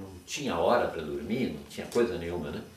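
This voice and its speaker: With a southern Brazilian accent, a man speaks at a fairly quick pace with lively intonation. Audible room echo and noticeable background noise are present. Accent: southern Brazilian (gaúcho) Portuguese. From southern Brazil, Rio Grande do Sul. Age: 70s. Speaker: retired doctor. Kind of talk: oral history interview. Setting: at home. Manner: halting, with many repetitions.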